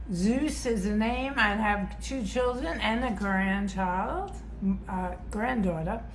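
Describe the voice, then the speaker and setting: Speaking at a very slow pace, a woman with a medium pitch is heard over noticeable background noise and audible room echo. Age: 60s. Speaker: fitness instructor. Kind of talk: casual interview chat. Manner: halting, many fillers.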